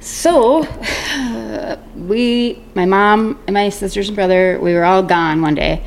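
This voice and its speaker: Against noticeable background noise, the speech moves at a very slow pace with lively intonation and hardly any pauses. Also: woman, medium pitch for a woman. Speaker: podcast guest, mother of the host. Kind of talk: casual chat. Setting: home recording.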